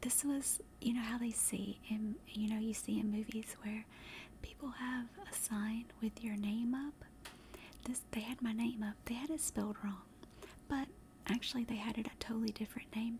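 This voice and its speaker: A woman with a Southern US accent speaks in a relaxed tone, somewhat breathy, with a fairly high pitch and fairly even intonation. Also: moderate pace. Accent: Southern American. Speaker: ASMR streamer / vtuber. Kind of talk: casual storytelling to an audience. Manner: chatty, relaxed, with filler words.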